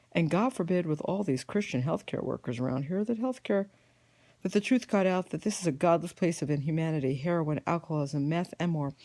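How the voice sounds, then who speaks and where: This very clean recording, with a silent background, features a woman at a fairly quick pace. Her fairly low pitch carries a dark, mellow tone and lively intonation. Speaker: patient with a neuromuscular disease. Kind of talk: personal testimony. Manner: fast.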